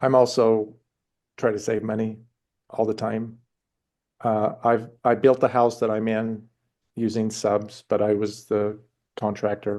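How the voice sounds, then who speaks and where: A man speaks at a fairly low pitch in a dark, mellow tone, his intonation monotone and flat. He goes at a fairly slow pace with long, frequent pauses against a quiet background. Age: 60s. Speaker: participant asking questions in a webinar. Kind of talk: question and answer in a webinar. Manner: halting.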